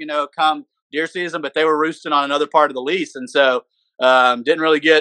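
Against a quiet background, a man with an Arkansas accent speaks very fast in a fairly high, bright, sharp voice with ordinary pitch variation. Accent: US Southern (Arkansas). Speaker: podcast co-host, hunter. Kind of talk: casual chat.

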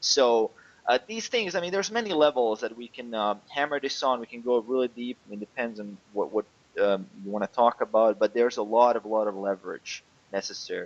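Someone with a non-native accent talks at a fairly quick pace, with ordinary pitch variation and big swings in loudness, in a dry, close sound with no echo. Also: man, medium pitch for a man. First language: not English. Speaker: online fitness coach. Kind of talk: interview. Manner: halting.

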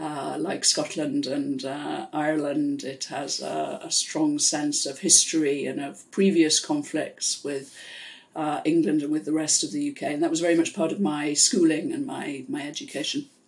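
A woman with a Welsh accent speaks at a moderate pace. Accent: Welsh-tinged British English. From South Wales, UK (Pontypool). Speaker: international development expert. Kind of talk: interview. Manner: measured.

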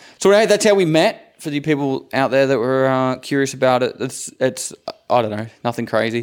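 A man speaks with an Australian accent at a medium pitch. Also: lively intonation, moderate pace. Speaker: content creator, podcast co-host. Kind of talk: casual chat. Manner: animated presenter voice when recording.

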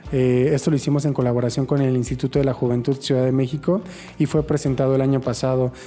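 Through noticeable background noise, a man speaks at a very fast pace with very even loudness and a monotone, flat intonation. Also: medium pitch for a man. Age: 20s. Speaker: HIV activist. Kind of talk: interview testimony.

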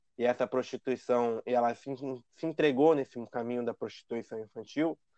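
Against a quiet background, a man in a normal speaking voice talks at a fairly quick pace with ordinary pitch variation and a dry, close sound with no echo. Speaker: podcast host, lawyer. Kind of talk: casual chat.

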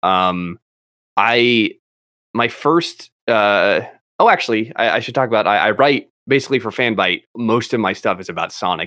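Recorded very cleanly against a silent background, a man's voice sounds bright and sharp, dry and close with no echo. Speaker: podcast host. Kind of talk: casual chat. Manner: rambling, filler-heavy, laughs often.

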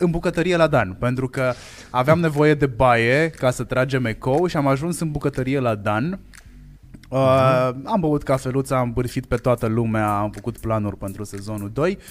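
A man's medium-pitched voice moves at a moderate speed, its pitch varying in an ordinary way. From Hațeg, Hunedoara, Romania. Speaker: podcast marketing lead and co-host. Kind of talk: casual live podcast chat. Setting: live stream studio.

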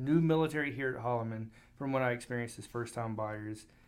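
A man talks at a very fast pace in a medium pitch. The room echo is audible. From US South, Alabama. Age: 30s. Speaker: car salesman, podcast host, Air Force veteran. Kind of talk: casual business podcast.

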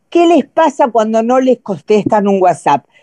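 A woman's dark, mellow tone and lively intonation come through in a dry, close sound with no echo. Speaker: participant. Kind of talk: casual chat.

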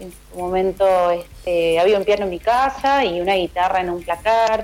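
A woman talks fairly slowly, her pitch sitting in the middle of her range and her intonation staying fairly even. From Argentina, western Greater Buenos Aires (Ituzaingó). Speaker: singer-songwriter and guitarist. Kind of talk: radio interview. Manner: hesitant, repeats words.

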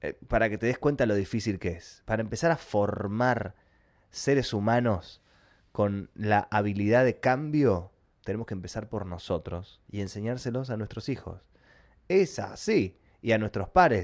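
With a Rioplatense accent, a man speaks fairly slowly in an animated tone, his fairly low voice showing ordinary pitch variation on a very clean recording with a silent background. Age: 30s. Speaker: podcast host, YouTuber. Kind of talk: casual monologue.

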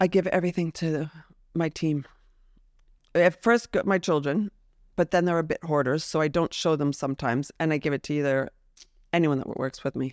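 A woman with an American accent talks at a fairly quick pace, her very deep, low voice showing ordinary pitch variation. Long pauses come often, and the sound is dry and close with no echo. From US, New Jersey. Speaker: swimwear designer. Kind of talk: casual interview. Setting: outdoors with a view. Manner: animated.

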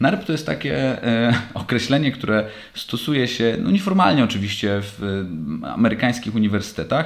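A man speaks at a moderate pace and medium pitch, with vocal fry. His pitch swings very widely. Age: 30s. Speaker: podcast host, lacrosse player. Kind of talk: solo monologue podcast. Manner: casual, halting with fillers.

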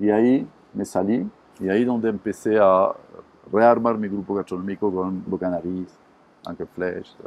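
Pausing long and often, a man with a French accent speaks at a fairly slow pace with fairly even intonation. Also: fairly low pitch for a man. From southern France, Montpellier. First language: French (speaking Spanish). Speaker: restaurant entrepreneur. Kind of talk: interview. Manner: halting with fillers.

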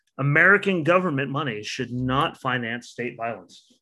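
A man at medium pitch with ordinary pitch variation, an unremarkable speaking voice, is heard on a very clean recording with a silent background. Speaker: podcast host. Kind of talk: casual chat. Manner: self-deprecating, talkative, laughs often.

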